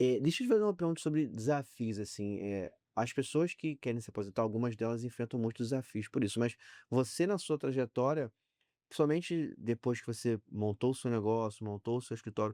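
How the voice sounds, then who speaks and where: The recording is very clean, dry and close, with no echo and a silent background. A man speaks fairly quickly in a dark, mellow tone. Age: 40s. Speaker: podcast host. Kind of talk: interview.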